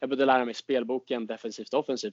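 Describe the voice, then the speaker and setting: This man talks in a flat monotone at a medium pitch. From Sweden, Stockholm. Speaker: exchange student. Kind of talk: casual chat.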